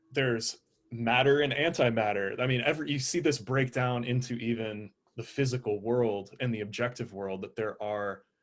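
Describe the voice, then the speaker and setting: A man speaks in a plain, everyday voice. His pitch is medium and his intonation fairly even. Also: moderate pace. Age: 20s. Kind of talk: casual chat.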